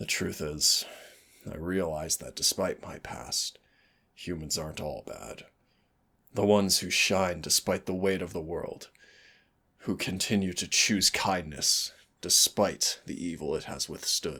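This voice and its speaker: A man speaks in a put-on character voice with a very deep, low pitch. He talks at a fairly slow pace, with long, frequent pauses. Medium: solo performance. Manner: soft, intimate, teasing.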